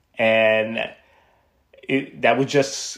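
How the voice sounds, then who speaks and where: A man is talking here. His speech carries an American accent. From Miami, Florida. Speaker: podcast host. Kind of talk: casual monologue. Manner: casual with filler words.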